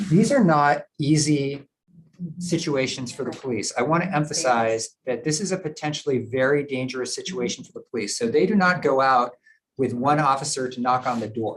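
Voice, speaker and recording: This man talks at a fairly quick pace in a fairly high pitch, with ordinary pitch variation. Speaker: prosecutor giving a presentation. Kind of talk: presentation to a board meeting. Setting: live-streamed public meeting. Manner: fast.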